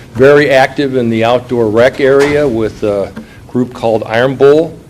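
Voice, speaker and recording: An American-accented man at a fairly slow pace, fairly even intonation, and noticeable background noise behind him. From Illinois. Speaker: business executive, panelist. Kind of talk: panel discussion.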